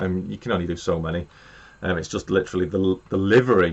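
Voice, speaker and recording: With an English accent, a man talks at a very fast pace. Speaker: model railway YouTuber. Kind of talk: live stream chat. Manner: loud.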